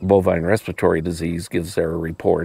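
Over a quiet background, a man talks in an American accent, the sound dry with no echo. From Wyoming, US. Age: 60s. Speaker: veterinarian. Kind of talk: casual interview conversation. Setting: outdoors on a farm. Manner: halting, many repetitions and fillers. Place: farm machine. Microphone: lapel.

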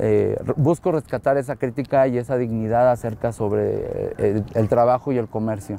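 Over light background noise, a man talks at a moderate pace with hardly any pauses, the sound dry with no echo. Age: 30s. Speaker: photographer. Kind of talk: interview monologue. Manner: hesitant, many fillers.

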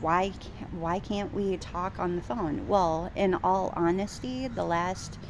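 Through noticeable background noise, a woman speaks at a fairly slow pace in a fairly low voice with ordinary pitch variation. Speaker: vlogger. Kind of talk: casual vlog chat. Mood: frustrated, venting about date. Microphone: phone near.

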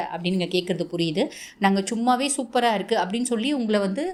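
With ordinary pitch variation, a woman talks in an unremarkable speaking voice. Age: 30s. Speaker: astrologer. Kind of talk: astrology forecast monologue.

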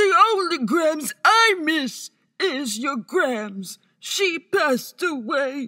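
In a cartoonish character voice, a woman speaks at a high pitch. Her pace is very slow. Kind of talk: animation voice-over. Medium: voice reel. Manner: awkward, earnest.

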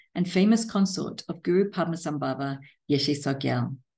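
At a fairly quick pace, a woman with a fairly low pitch and a dark, mellow tone talks with ordinary pitch variation over a quiet background. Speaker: podcast interviewer. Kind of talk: interview introduction and questions. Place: home room. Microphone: webcam.

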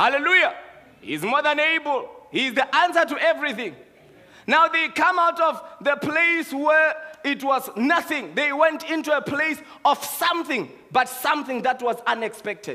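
A man's raised, projected voice at a moderate pace, with ordinary pitch variation. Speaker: preacher. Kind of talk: sermon. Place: church. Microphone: headset.

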